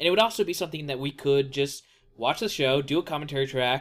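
Very clean recording, silent background: a man speaks at a fairly quick pace. He has an ordinary speaking voice pitched fairly high. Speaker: podcast host. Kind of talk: casual chat about a book series. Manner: joking, playful banter.

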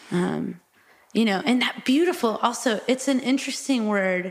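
With an American accent, a woman speaks at a fairly slow pace in an ordinary speaking voice. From Texas. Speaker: singer-songwriter. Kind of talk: casual discussion.

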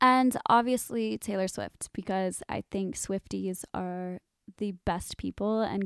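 A woman's unremarkable speaking voice with a General American accent, medium pitch, ordinary pitch variation, and a fairly slow pace, on a very clean recording with a silent background and a dry, close sound with no echo. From Arizona, Cave Creek. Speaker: singer-songwriter. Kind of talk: interview.

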